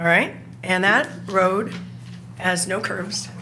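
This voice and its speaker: A woman talks at a fairly slow pace. The room echo is audible, and background noise is noticeable. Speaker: resident speaking at public comment. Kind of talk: public comment at council meeting. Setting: city council meeting. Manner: informal, somewhat halting.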